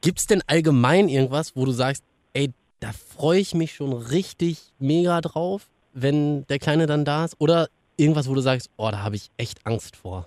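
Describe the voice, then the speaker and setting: This is an ordinary speaking voice at a moderate pace with ordinary pitch variation. The sound is dry and close, with no echo. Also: man, fairly high pitch for a man. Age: 30s. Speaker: radio podcast host. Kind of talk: casual chat.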